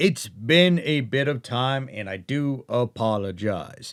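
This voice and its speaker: A man with a normal speaking voice talks at a medium pitch with lively intonation on a very clean recording with a silent background. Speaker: voice actor. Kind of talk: casual talk to camera.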